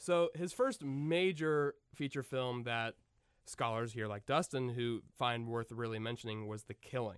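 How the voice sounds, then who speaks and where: A man with an unremarkable speaking voice talks at a fairly slow pace, his pitch medium and its variation ordinary. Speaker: podcast host. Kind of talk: casual chat.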